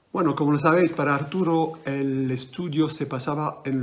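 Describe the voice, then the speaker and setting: A man with a non-native accent speaks at a very slow pace with a fairly high pitch. His pitch varies in an ordinary way, over noticeable background noise. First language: French (speaking Spanish). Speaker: magician. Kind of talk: interview. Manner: halting.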